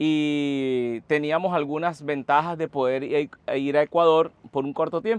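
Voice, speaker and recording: This man talks at a fairly slow pace with a fairly high pitch and fairly even intonation. The sound is dry and close with no echo, and the background is quiet. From Venezuela. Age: 40s. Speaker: community founder, podcast guest. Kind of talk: interview conversation.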